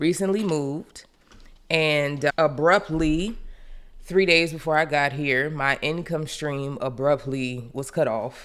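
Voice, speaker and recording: Very deep and low, this woman's voice moves at a very slow pace. Her pitch varies in an ordinary way. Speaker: budgeting vlogger. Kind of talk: casual vlog.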